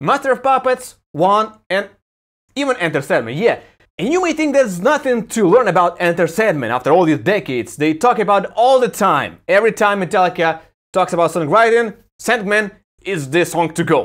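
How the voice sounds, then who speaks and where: Over a quiet background, a man with a high pitch talks in an animated tone at a moderate pace, his pitch swinging very widely. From Ukraine. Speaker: YouTuber and music commentator; YouTuber, music commentator. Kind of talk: video review monologue. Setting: home balcony. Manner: casual, animated. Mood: sarcastic, opinionated. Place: home room. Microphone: phone near.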